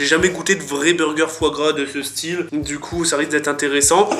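Faint music plays in the background while a man talks at a moderate pace. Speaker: vlogger. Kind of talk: casual vlog chat. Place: home room. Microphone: phone near.

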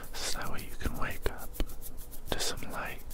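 Loud background noise surrounds a man's voice in a dry sound with no echo. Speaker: ASMR creator. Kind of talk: ASMR caring friend roleplay. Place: home room. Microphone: studio mic.

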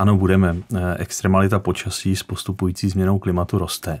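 Against a quiet background, a man speaks at a very deep, low pitch. His tone is dark and mellow, his intonation monotone and flat. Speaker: guest. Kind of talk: interview answer. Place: studio.

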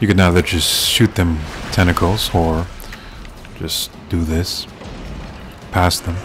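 Over noticeable background noise, a man speaks very slowly at a very deep, low pitch. His delivery is flat and monotone, broken by long, frequent pauses. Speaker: gaming YouTuber. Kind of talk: video game playthrough commentary. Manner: halting, stumbling over words.

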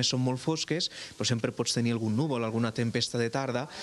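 Very rapid male speech, pitch varying in a normal way. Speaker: astronomy centre guide. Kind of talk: interview. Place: hall. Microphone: handheld.

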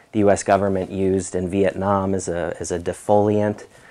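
This man has an American accent. He talks at a moderate speed. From New York. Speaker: environmental epidemiologist. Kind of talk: lecture. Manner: halting, many fillers. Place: classroom.

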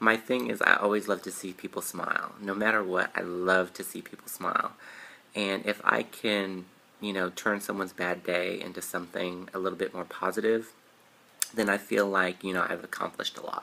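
A man speaks with a very deep, low pitch. His intonation stays fairly even. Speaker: YouTuber. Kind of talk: guided meditation with repeat-after-me affirmations. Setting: solo video to camera. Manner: warm, sincere, chatty. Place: home room. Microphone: webcam.

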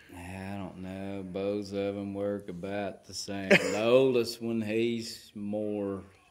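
With a Southern US accent, a man speaks very slowly in a fairly low, monotone, flat voice, with hardly any pauses and big swings in loudness. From Southern United States. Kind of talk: casual conversation. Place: open country. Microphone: phone near.

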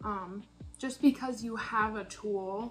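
With faint music in the background, a woman speaks at a fairly slow pace with ordinary pitch variation. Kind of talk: casual reflective vlog. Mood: upbeat, thoughtful. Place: kitchen. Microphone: phone near.

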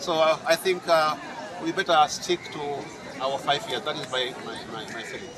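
A man's high-pitched voice with crowd noise in the background. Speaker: local politician. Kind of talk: interview answer. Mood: relaxed, smiling. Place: open country. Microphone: handheld.

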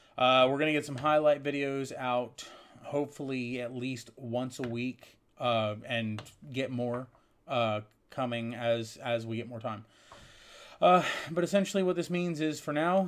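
A man at a fairly slow pace, with long, frequent pauses and ordinary pitch variation. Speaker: streamer. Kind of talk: casual channel update talk.

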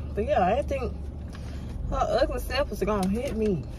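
The voice belongs to a woman with a medium pitch. She speaks at a moderate pace.

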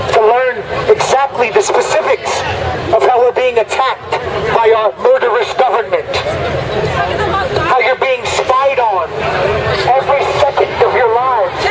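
Crowd noise sits behind speech delivered at a moderate pace, with long, frequent pauses and ordinary pitch variation. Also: man. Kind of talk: street preaching speech. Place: street. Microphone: phone near.

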